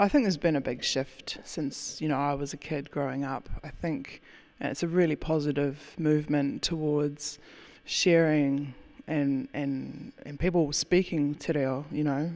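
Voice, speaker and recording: With a New Zealand accent, a woman speaks fairly slowly in a very deep, low voice. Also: fairly even intonation. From New Zealand, rural area south of Auckland. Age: 30s. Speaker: winemaker. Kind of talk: interview.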